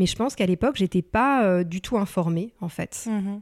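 Dry and close with no echo, on a very clean recording with a silent background, a woman speaks at a moderate pace in an ordinary speaking voice, with a medium pitch and ordinary pitch variation. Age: 30s. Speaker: career transition coach. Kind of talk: interview.

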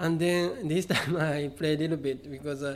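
A man with a fairly high voice talks at a medium tempo, keeping his intonation fairly level. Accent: Japanese. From Japan, Kobe. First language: Japanese. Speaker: artist. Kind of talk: interview. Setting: exhibition venue. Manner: halting.

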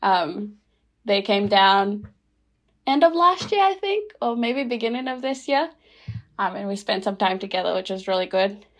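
A woman with a Fijian accent speaks at medium pitch and a moderate pace, with lively intonation. Long, frequent pauses break her speech on a very clean recording with a silent background. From Rotuma, Fiji. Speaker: podcast guest. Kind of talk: casual chat. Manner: hesitant, many fillers.

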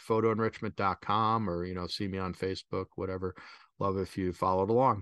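This man has an unremarkable speaking voice and an American accent, pitched fairly low with fairly even intonation at a fairly quick pace. The sound is dry and close with no echo, over a quiet background. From US Midwest (Chicago). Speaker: travel photographer and photography instructor. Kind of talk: interview.

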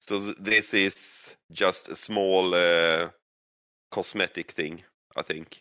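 A man with a Swedish accent speaks very slowly in a very deep, low pitch. His intonation is monotone and flat. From Sweden. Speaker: gaming streamer. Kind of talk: casual chat. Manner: halting.

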